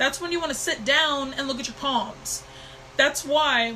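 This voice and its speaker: A raised, projected voice at a moderate pace amid noticeable background noise. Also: woman. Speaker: intuitive divination mentor. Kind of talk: live stream talk. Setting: live stream on new computer.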